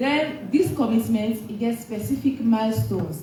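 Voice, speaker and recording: The voice moves at a fairly slow pace with lively intonation. Noticeable background noise and audible room echo run through the clip. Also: woman. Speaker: government official presenter. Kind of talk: press conference answer.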